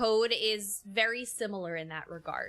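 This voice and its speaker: A woman with a New York accent talks at a very slow pace in a bright, sharp tone. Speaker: game streamer. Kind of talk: casual chat. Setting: live stream. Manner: halting, repeats words.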